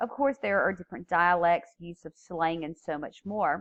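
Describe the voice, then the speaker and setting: A woman's fairly low voice with lively intonation. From US South. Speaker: teacher. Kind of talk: lecture.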